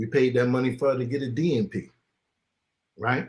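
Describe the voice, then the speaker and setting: A man with an American accent has a normal speaking voice at medium pitch, with ordinary pitch variation. He talks at a fairly quick pace in a very clean recording with a silent background. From New York (Queens), summers in the US South. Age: 50s. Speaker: live stream guest, uniformed worker. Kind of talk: casual live stream discussion. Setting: live stream.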